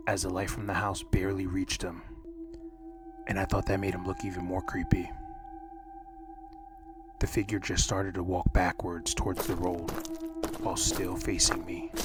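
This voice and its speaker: A soft-spoken man talks at a moderate pace with long, frequent pauses. Noticeable background noise runs underneath. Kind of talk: horror story narration, soft-spoken ASMR reading. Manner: soft-spoken, calm.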